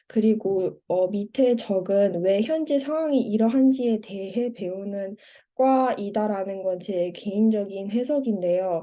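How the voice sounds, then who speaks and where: A woman talks at a very slow pace with a dark, mellow tone. Her pitch is medium, with ordinary variation. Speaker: university student. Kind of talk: presentation. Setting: online seminar.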